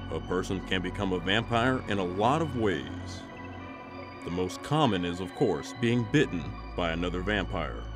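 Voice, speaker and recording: A man's very deep, low voice with very wide pitch swings, at a moderate pace over music in the background. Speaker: narrator. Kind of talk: documentary-style folklore narration.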